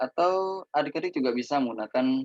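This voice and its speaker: A man in an ordinary speaking voice talks at a fairly slow pace with ordinary pitch variation, in a dry, close sound with no echo. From Indonesia, Probolinggo, East Java. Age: 20s. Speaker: student teacher. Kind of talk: lecture.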